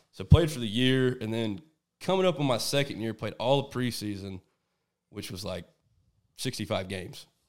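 On a very clean recording, silent background, a man at a medium pitch talks at a moderate pace with lively intonation and long, frequent pauses. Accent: Texan. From Texas. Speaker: hunting guide. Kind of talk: casual chat. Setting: at a house over dinner.

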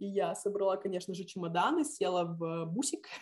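A woman uses a normal speaking voice at a moderate pace, her pitch medium with ordinary pitch variation. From Lithuania (Visaginas). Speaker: civic activist and teacher. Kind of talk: interview.

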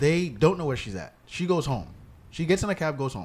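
Using a normal speaking voice, a man with a fairly high pitch speaks with lively intonation. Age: 30s. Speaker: podcast host and comedian. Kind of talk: casual chat.

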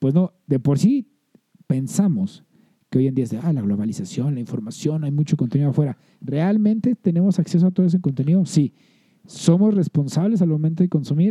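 Dry, close sound with no echo, a man with a fairly high pitch, a dark, mellow tone, lively intonation and a fairly quick pace. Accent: Mexican. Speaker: podcast co-host. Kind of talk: casual chat.

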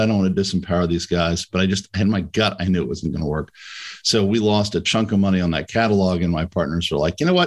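A man with an American accent talks very fast at a very deep, low pitch with fairly even intonation. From New York City area / Connecticut. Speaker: M&A advisor. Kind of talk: casual interview.

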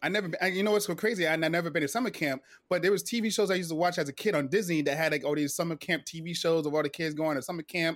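In a very clean recording with a silent background, a man with an American accent talks at a very fast pace, his high-pitched voice showing ordinary pitch variation. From New Jersey, then Florida from age nine. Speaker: retired Navy sailor, military veteran. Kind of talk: interview, personal testimony. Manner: halting, many restarts and fillers.

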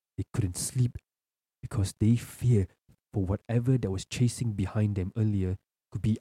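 Dark and mellow in tone, a man's voice sounds somewhat breathy with ordinary pitch variation. The sound is dry and close, with no echo. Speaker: podcast host and storyteller. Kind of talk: horror story narration, read aloud as spooky tale. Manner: building suspense, tense and hushed narration.

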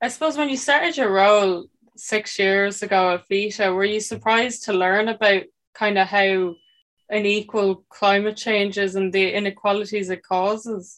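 Using a normal speaking voice, a woman talks at a moderate pace with medium pitch and ordinary pitch variation. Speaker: podcast host. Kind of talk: scripted intro then interview chat.

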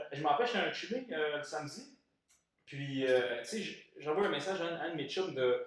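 Audible room echo surrounds a man's voice. His intonation is lively, broken by long, frequent pauses. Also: fairly high pitch for a man. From Montreal, Quebec. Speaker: podcast co-host. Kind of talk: casual chat.

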